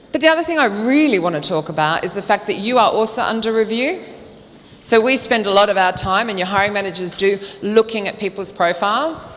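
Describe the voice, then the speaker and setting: A woman with an Australian accent and a fairly high pitch talks at a fairly quick pace in an animated tone with lively intonation, over noticeable background noise. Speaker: recruitment trainer and speaker. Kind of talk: conference talk. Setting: stage with audience. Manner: fast.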